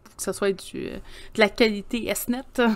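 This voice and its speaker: Someone speaks at a fairly slow pace in a Quebec accent. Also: woman. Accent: Québécois French. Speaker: podcast co-host. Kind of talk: casual chat.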